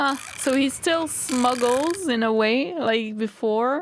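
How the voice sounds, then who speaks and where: In a non-native accent, a woman speaks with fairly high pitch and lively intonation. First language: not English. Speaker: reaction youtuber. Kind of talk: reaction commentary.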